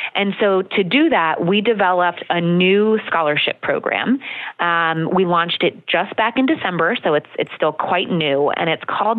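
A woman speaks at a moderate pace with hardly any pauses and very even loudness. Hers is a plain, everyday voice, medium in pitch with ordinary pitch variation. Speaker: college scholarship program executive. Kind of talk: radio interview.

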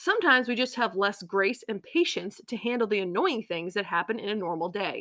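A woman at a fairly quick pace, fairly high in pitch, with lively intonation and a dry, close sound free of echo. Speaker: podcast host. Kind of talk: solo devotional podcast talk. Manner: sarcastic tone.

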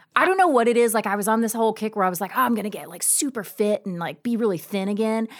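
With an American accent, a woman talks at a very fast pace with hardly any pauses, a fairly high pitch and ordinary pitch variation, against noticeable background noise. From US South, Georgia. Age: 40s. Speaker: podcast co-host. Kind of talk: casual chat. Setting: studio.

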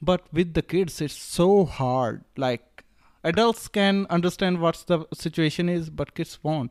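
A man with an Indian accent speaks at a high pitch and a fairly slow pace, with ordinary pitch variation. The recording is very clean, with a silent background. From Rajasthan, India. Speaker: drop shipping entrepreneur. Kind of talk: casual interview. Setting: Bali retreat. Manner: halting, with many fillers.

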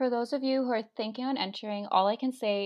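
Using a normal speaking voice, a woman talks at a fairly quick pace with ordinary pitch variation. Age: 20s. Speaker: beauty pageant contestant and recent graduate. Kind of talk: casual interview chat.

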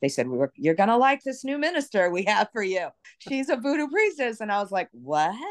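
With an American accent, a woman talks in very wide pitch swings, the sound dry and close with no echo and the background quiet. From New York City (Brooklyn). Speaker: voodoo priestess and author. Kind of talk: interview.

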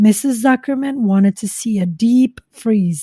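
The pitch moves in an ordinary way during plain reading aloud, and the background is quiet.

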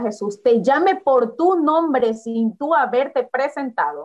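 This woman's high-pitched voice carries lively intonation. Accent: coastal Ecuadorian. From Ecuador, Guayaquil. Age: young. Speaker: young church leader. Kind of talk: casual Bible discussion. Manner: animated.

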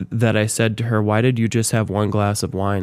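In an unremarkable speaking voice, a man with an American accent talks at a fairly quick pace and a fairly low pitch. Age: 30s. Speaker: church pianist and musician. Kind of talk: casual interview.

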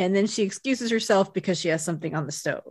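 In a plain, everyday voice, a woman speaks at medium pitch with lively intonation on a very clean recording with a silent background. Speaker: podcast host. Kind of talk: casual chat.

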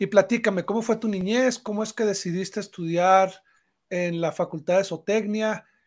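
In a very clean recording with a silent background, a man with a high voice speaks at a moderate pace with fairly even intonation. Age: 40s. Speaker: podcast host. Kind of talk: interview.

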